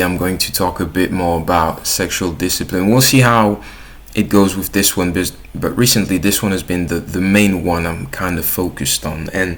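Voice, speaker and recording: Moderate pace and ordinary pitch variation in a French accent. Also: man. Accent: French accent, self-noted. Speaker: YouTuber. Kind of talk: casual vlog monologue. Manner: casual, with filler words and restarts.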